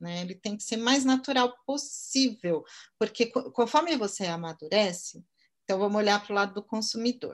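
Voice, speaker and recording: A woman talks in a normal speaking voice at a moderate pace, with fairly high pitch and lively intonation. Her loudness swings widely. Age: 50s. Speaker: marketing entrepreneur. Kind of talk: interview.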